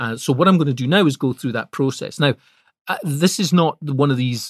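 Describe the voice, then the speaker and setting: A man with a Scottish accent talks at a fairly quick pace. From Scotland. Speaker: podcast host and public speaker. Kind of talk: solo podcast monologue. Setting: studio. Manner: conversational, with fillers.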